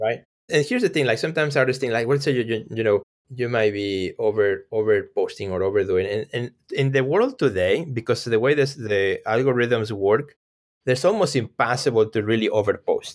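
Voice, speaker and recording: In a very clean recording with a silent background, a man with a Mexican accent speaks at medium pitch and a fairly quick pace, with ordinary pitch variation. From Mexico. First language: Spanish. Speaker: artist and gallery owner. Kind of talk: casual interview.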